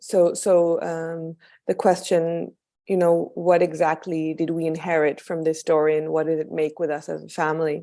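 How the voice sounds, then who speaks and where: In a very clean recording with a silent background, a woman with a slight American accent speaks at a fairly slow pace, her pitch fairly low and her tone dark and mellow. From Israel. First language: Hebrew. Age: 30s. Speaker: documentary filmmaker. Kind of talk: interview after film screening. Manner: halting.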